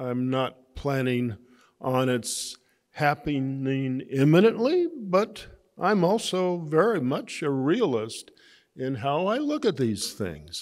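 Very slowly, a man speaks with very wide pitch swings at a fairly high pitch. The background is quiet. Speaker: economics professor receiving honorary doctorate. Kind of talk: acceptance speech. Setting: graduation ceremony. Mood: grateful, warm. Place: garden. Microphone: podium.

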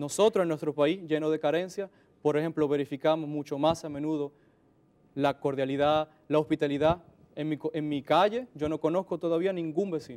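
The man's intonation is fairly even and his pace is moderate. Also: fairly high pitch for a man. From Dominican Republic. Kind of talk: interview. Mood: calm, friendly, smiling. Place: studio. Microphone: lapel.

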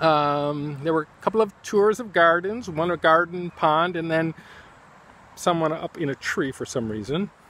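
A man with a high voice talks in a relaxed tone at a moderate pace, the sound dry with no echo. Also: ordinary pitch variation. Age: 60s. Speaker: artist and teacher thanking friends on his channel. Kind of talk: casual video message. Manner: relaxed, hesitant with many fillers. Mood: warm, amused. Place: garden. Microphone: phone near.

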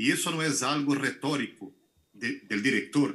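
A man speaks at a fairly slow pace with a Brazilian accent. His tone is bright and sharp over a quiet background. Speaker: film director. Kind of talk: Q&A answers. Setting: video call. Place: home room. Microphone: video call.

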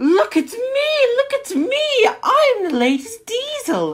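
A female-sounding put-on character voice reaches extremely high pitch and very wide pitch swings. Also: fairly slow pace. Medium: read story. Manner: boastful, indignant.

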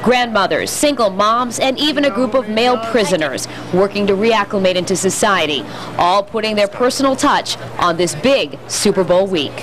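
A woman at a moderate pace and medium pitch, over noticeable background noise. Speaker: TV news reporter. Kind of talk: live news report. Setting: on location.

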